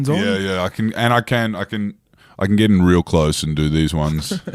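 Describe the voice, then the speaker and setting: Moderate pace, ordinary pitch variation and fairly low pitch from a man, on a very clean recording with a silent background. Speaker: podcast host.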